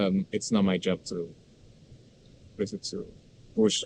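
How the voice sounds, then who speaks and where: A man speaks with a Spanish accent. His tone is dark and mellow. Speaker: university student. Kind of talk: casual conversational interview. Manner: halting, many fillers.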